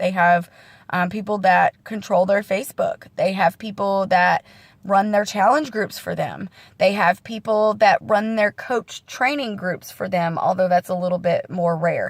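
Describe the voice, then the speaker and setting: A woman talks at a fairly slow pace in a somewhat breathy voice of medium pitch. Her pitch varies in an ordinary way, and the sound is dry and close with no echo. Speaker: fitness coach. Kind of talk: casual vlog training talk.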